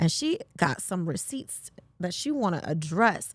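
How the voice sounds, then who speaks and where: The recording is very clean, with a silent background. A woman speaks in an animated tone, her pitch swinging very widely. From New York, raised partly in Virginia. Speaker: podcast host. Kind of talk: casual chat.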